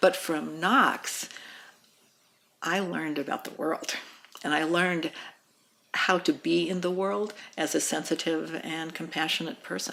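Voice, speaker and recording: A woman at a fairly slow pace, ordinary pitch variation, long and frequent pauses. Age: 60s. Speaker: midwife. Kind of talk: interview testimony. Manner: halting, many fillers.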